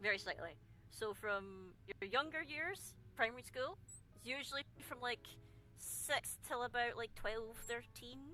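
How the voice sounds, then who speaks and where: Over noticeable background noise, a woman with a Scottish accent speaks high in pitch with lively intonation. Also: fairly slow pace, big swings in loudness. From Scotland. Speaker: streamer. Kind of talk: casual chat.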